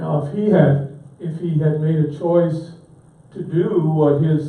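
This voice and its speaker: A man speaks at a fairly high pitch, with audible room echo around him. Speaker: pastor teaching a church class. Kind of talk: lecture.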